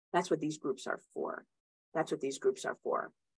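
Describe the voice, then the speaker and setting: This woman's voice comes through with a quiet background behind it. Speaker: group coaching session leader. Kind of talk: group video call. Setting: video call. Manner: warm, encouraging. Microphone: webcam.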